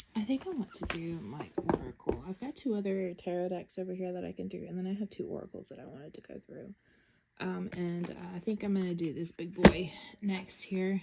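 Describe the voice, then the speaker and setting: Woman in a Southern US accent, medium pitch, ordinary pitch variation, and big swings in loudness. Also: fairly quick pace. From US South. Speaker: tarot deck reviewer. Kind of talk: casual show-and-tell video. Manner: hesitant, many fillers.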